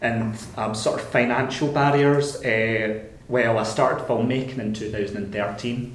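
A man with a Scottish accent speaks very slowly at medium pitch with fairly even intonation. Noticeable background noise can be heard. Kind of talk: casual chat. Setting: studio.

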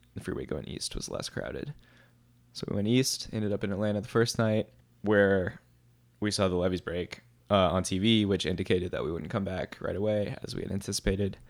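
With an American accent and a plain, everyday voice, a man talks at a fairly quick pace, fairly low in pitch with ordinary variation, on a very clean recording with a silent background. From New Orleans, US South. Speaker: filmmaker and musician. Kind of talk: casual podcast interview.

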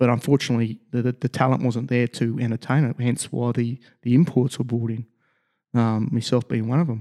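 Medium-pitched male voice in an Australian accent, fairly quick pace and fairly even intonation, with a dry, close sound and no echo. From Australia, Logan, Queensland. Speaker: sports construction business owner, former rugby player. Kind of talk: casual interview. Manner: halting, many fillers.

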